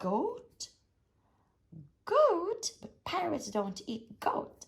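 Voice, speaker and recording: An extremely high, put-on character voice drags at a very slow pace with very wide pitch swings. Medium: read story. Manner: bossy, blustering.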